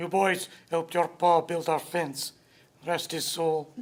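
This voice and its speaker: Using a put-on character voice, a man speaks at a fairly slow pace with a high pitch and monotone, flat intonation. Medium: short film. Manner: gruff.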